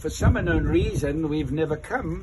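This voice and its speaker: Someone speaks at a fairly slow pace over noticeable background noise. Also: man. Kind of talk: interview answer. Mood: warm, enthusiastic. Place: street. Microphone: phone near.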